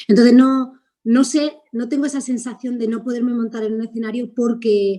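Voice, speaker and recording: A woman's high-pitched, dark, mellow voice with monotone, flat intonation. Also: moderate pace. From Spain. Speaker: actress. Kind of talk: interview. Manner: halting.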